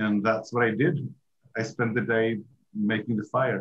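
Keeping a fairly even intonation, a man speaks at a fairly slow pace with a fairly low pitch.

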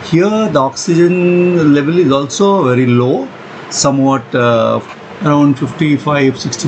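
Noticeable background noise under a fairly slow pace of speech. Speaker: travel vlogger. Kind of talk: casual vlog commentary. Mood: awed, admiring. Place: waterside. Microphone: phone near.

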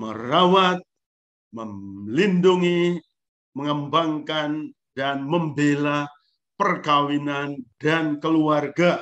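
Speaking very slowly, a man uses a fairly high pitch. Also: quiet background. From Eastern Indonesia, Lembata (Flores region); Eastern Indonesia. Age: 60s. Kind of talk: lecture. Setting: video call. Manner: animated. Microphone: video call.

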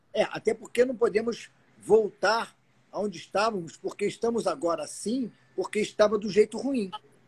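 This man has a high pitch. He talks at a moderate pace. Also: ordinary pitch variation. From Rio de Janeiro, Brazil. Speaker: guest. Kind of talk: casual live-stream chat. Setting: video live stream. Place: garden. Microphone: phone near.

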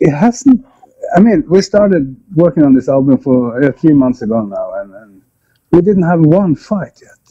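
A man talks at a fairly slow pace in a fairly high pitch, his tone dark and mellow, with big pitch swings.

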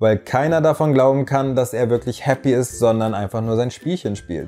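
This is a man speaking. Faint music plays in the background. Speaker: reality TV commentator. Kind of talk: commentary. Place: studio. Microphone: lapel.

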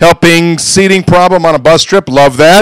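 A high-pitched man at a moderate pace, a dry sound with no echo, and a quiet background. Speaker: school staff member. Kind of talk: school announcements. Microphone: handheld.

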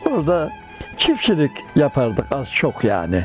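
A man speaks with a fairly high pitch in a dry recording with no echo. Clear music plays in the background. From Karapınar, Konya, Turkey. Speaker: tailor. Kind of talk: interview answer. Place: home room. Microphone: lapel.

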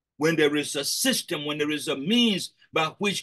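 The intonation of this man's voice is lively. His pace is fairly slow. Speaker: preacher leading a prayer session. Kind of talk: sermon. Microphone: video call.

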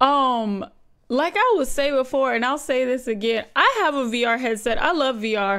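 A woman's high-pitched voice at a moderate pace, with ordinary pitch variation and a quiet background. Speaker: reaction video host. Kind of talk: casual reaction commentary. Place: home room. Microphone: studio mic.

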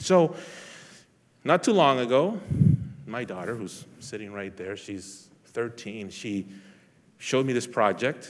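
A man talks at a very slow pace with lively intonation. He leaves long, frequent pauses. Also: big swings in loudness. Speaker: police lieutenant; speaker. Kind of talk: inspirational talk. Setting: stage with audience. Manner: halting. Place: hall. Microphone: headset.

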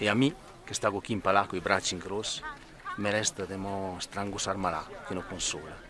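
Speaking at a fairly quick pace, a man with a fairly low pitch uses fairly even intonation and long, frequent pauses. The sound is dry with no echo, and there is noticeable background noise. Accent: Trentino. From Trentino, Italy. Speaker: poet. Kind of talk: poetry reading. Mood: warm, lively. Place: open country. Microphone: phone near.

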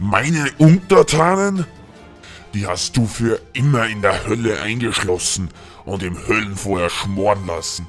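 Over clear music in the background, a man puts on a character voice at medium pitch and a fairly slow pace. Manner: scornful, menacing.

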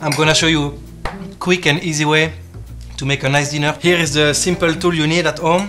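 Clear music plays in the background as a man with a French accent speaks at a fairly high pitch. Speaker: chef. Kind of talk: cooking demonstration. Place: kitchen. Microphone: camera far.

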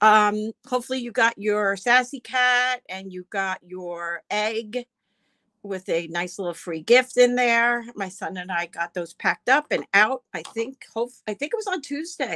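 A woman with a bright, sharp tone speaks at a fairly slow pace against a quiet background. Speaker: auction host. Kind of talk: casual livestream chat greeting viewers. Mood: friendly, relaxed. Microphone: phone near.

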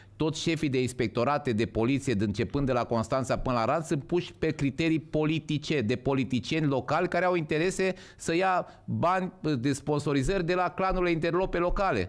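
With a quiet background, a man talks at a fairly quick pace, fairly high in pitch, his intonation lively and his loudness very even. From Romania. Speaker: podcast host. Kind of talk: casual chat. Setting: livestream. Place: studio. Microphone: studio mic.

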